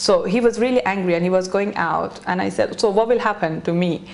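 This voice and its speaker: Against noticeable background noise, a woman talks at a moderate pace and medium pitch, with ordinary pitch variation. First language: not English. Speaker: beauty salon owner. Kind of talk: interview. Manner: halting.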